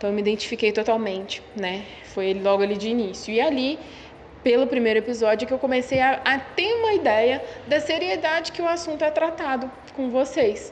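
The speaker moves at a fairly quick pace with lively intonation, with noticeable background noise behind. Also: woman, high pitch for a woman. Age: 20s. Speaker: podcast listener. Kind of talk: casual chat.

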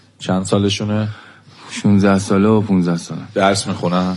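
A man speaks at a moderate pace in a very deep, low voice with fairly even intonation, with noticeable background noise and audible room echo. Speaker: radio host interviewing criminal suspects. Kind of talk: interview.

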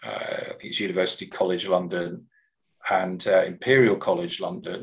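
A man with an English Midlands accent. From English Midlands, Coventry. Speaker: education sector executive. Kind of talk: interview conversation. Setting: video call.

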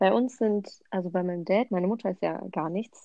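The speaker is a woman with vocal fry. Her pitch varies in an ordinary way. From Hesse, Germany (Offenbach). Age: 20s. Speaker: sociology student. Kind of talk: casual chat.

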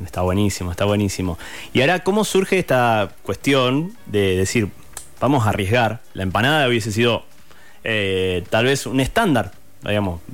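A man speaks at a moderate pace in an unremarkable speaking voice. His intonation is lively. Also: fairly low pitch for a man. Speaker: radio host. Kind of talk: interview.

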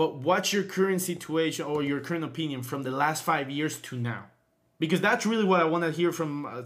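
This is an ordinary speaking voice. It shows ordinary pitch variation at a fairly quick pace. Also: man. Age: 20s. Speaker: podcast host. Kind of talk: casual chat.

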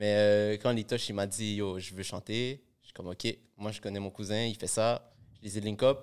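At a moderate pace, a man speaks with a fairly low pitch and a monotone, flat intonation. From Montreal area (Laval), Peruvian family. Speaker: rapper. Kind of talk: casual chat.

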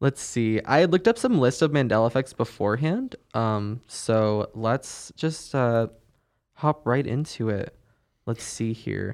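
A man speaks in an ordinary speaking voice at medium pitch with ordinary pitch variation and a fairly slow pace. The recording is very clean, with a silent background. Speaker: podcast host. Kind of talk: casual chat.

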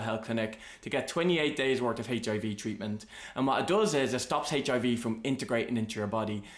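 A man with an Irish accent at a moderate pace. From Ireland. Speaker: podcast host. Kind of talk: casual chat.

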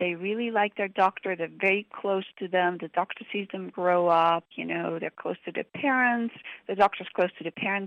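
In an ordinary speaking voice, a woman talks at a moderate pace. Her pitch is medium and her intonation fairly even. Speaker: pediatric kidney doctor and professor. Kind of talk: expert interview. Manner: warm, conversational.

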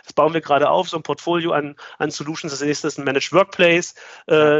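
A man's fairly high, flat monotone at a very fast pace. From Magdeburg, eastern Germany. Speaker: IT company founder. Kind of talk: interview. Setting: video call. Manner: hesitant, many fillers.

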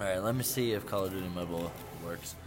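Very fast, very deep male speech in an American accent, with audible room echo. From Indiana. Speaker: podcast co-host. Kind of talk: casual chat. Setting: bar or cafe with live band.

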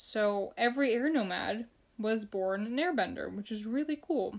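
In an American accent, a woman with a normal speaking voice and fairly high pitch talks at a fairly slow pace. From United States (Filipino family). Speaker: podcast host, fan show. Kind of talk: solo casual podcast, episode recap. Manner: casual, with fillers and repetitions.

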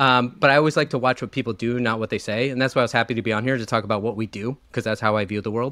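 With a bright, sharp tone at a medium pitch, a man talks at a very fast pace with hardly any pauses on a very clean recording with a silent background. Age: 40s. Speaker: fund manager, investment firm co-founder. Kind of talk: interview about investing.

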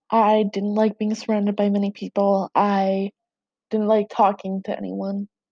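A woman's dark, mellow voice at medium pitch, monotone and flat, at a moderate pace, with a dry, close sound and no echo. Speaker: podcaster. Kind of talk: personal monologue.

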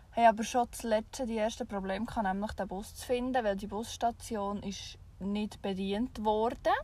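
At a moderate pace and with hardly any pauses, a woman speaks in a somewhat breathy, dark, mellow tone at a fairly high pitch, her intonation fairly even and her loudness swinging widely. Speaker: podcast co-host. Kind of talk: casual chat. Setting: in a camper van with the rear hatch open.

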